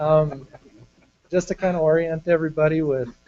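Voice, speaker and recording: A man speaks with music in the background. The sound is dry and close, with no echo. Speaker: fisheries biologist presenting to commission. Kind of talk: formal presentation.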